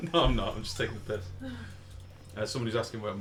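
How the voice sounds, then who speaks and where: A man's very fast delivery at a fairly low pitch with ordinary pitch variation, over noticeable background noise. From Liverpool area, north-west England. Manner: casual, hesitant, many fillers.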